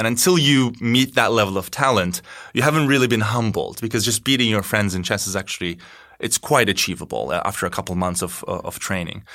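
In a Turkish accent, a man at medium pitch talks at a very fast pace with lively intonation and a bright, sharp tone. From Turkey, Istanbul. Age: 30s. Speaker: tech company CEO. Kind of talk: interview.

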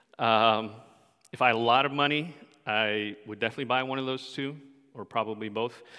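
On a very clean recording with a silent background, a man with a medium pitch talks at a fairly quick pace with fairly even intonation and long, frequent pauses. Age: 40s. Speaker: pastor. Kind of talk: sermon. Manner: casual, frequent fillers.

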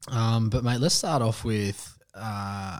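A man speaks with an Australian accent at a fairly low pitch. The recording is very clean, with a silent background. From Western Sydney, Australia. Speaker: podcast host. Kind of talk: casual interview.

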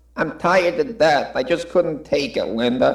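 A man speaks at a moderate pace and a high pitch. His intonation is lively. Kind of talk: parody of stage tragedy. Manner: weary, defensive, bitter.

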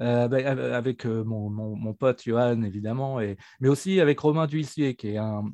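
In a dry, close sound with no echo and a quiet background, a man with a dark, mellow tone speaks at a moderate pace, with medium pitch and ordinary pitch variation. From Normandy, France (near Dieppe). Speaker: tabletop RPG designer. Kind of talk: interview. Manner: hesitant.

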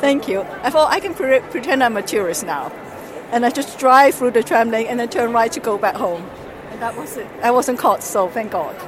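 Over crowd noise in the background, a woman talks at a high pitch with lively intonation. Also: moderate pace. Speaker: parent living abroad. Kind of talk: street interview. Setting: at a fair.

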